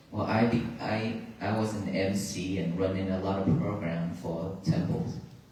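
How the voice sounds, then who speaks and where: Audible room echo and noticeable background noise sit behind a man's voice. He has a Vietnamese accent and lively intonation. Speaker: Buddhist monk. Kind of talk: dharma talk. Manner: halting.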